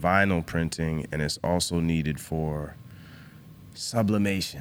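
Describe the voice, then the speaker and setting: With an American accent, a man talks at a fairly slow pace in a very deep, low voice. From US Northeast and Virginia (New Hampshire, then Virginia). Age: 20s. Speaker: clothing company founder. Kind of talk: casual chat.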